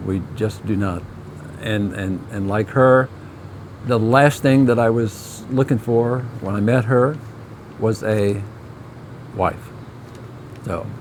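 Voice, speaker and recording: A man's very slow speech at medium pitch, with fairly even intonation, long, frequent pauses, and noticeable background noise. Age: 70s. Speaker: video creator, husband. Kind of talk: casual chat.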